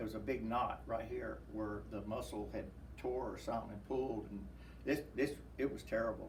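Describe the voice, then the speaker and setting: Man at a moderate pace amid noticeable background noise. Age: 70s. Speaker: war veteran; pastor. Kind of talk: interview answer.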